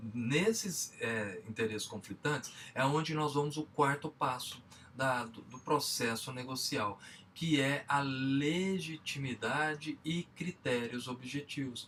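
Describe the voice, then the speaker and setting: A man with a Minas Gerais accent, very slow in pace, fairly high in pitch, with ordinary pitch variation. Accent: Minas Gerais (mineiro). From Minas Gerais, Brazil. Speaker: business trainer. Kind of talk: lecture.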